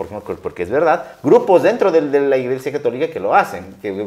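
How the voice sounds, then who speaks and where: The speaker is a man. His delivery runs fairly quickly. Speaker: interview show host. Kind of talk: interview conversation.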